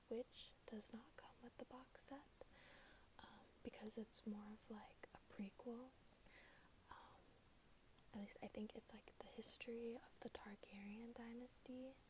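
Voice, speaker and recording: A woman is whispering. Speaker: ASMR creator. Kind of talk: ASMR book talk to camera. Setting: phone recording, no microphone. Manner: soft-spoken, whispering.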